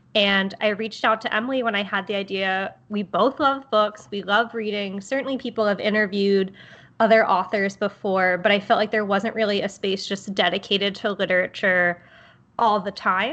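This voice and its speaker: Against a quiet background, a woman with an American accent and an unremarkable speaking voice talks at a moderate pace, her medium pitch held in fairly even intonation. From Baltimore, Maryland. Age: 20s. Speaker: podcast co-host. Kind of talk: casual chat.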